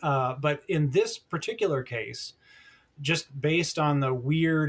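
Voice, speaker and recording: A somewhat breathy male voice at a fairly slow pace. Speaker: telecom journalist. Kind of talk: podcast interview. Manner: animated.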